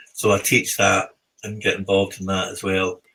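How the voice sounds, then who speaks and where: Bright and sharp in tone, this voice has a British accent and a fairly quick pace. Its intonation stays monotone and flat. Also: man. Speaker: equine therapy psychotherapist. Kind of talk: podcast interview. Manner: hesitant, many fillers.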